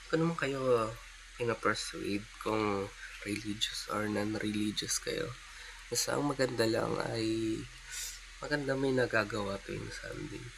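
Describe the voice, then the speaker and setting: Quiet and at a fairly slow pace, a man speaks against noticeable background noise. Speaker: vlogger. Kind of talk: casual vlog monologue. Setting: at home, early morning. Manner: quiet, keeping voice down; halting, many fillers.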